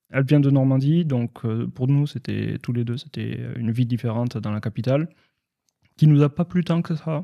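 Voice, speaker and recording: A man speaks at a medium pitch and moderate pace, with a slight southwestern French accent. His dark, mellow tone has ordinary pitch variation, and the sound is dry and close with no echo. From southwestern France. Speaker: IT and cybersecurity professional, expat community figure. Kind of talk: podcast interview. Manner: hesitant, many fillers.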